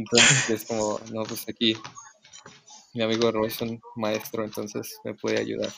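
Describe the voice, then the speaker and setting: A man with a fairly low pitch talks in a monotone, flat way at a fairly slow pace against noticeable background noise. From Mexico City. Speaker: musician. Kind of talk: casual chat. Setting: remote recording from home. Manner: halting.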